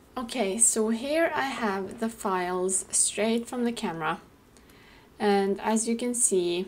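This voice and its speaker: A very slow pace with very even loudness. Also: woman. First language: not English (English is third language). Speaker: beauty blogger. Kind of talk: tutorial. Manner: hesitant, with fillers.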